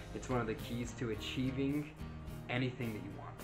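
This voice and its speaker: Clear music can be heard behind the voice. The speaker is a man. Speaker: motivational vlogger. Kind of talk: casual vlog chat. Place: home room. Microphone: webcam.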